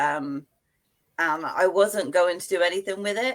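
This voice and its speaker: At a moderate pace, a woman with a medium pitch speaks in a strong British accent. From UK. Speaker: author. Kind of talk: casual interview.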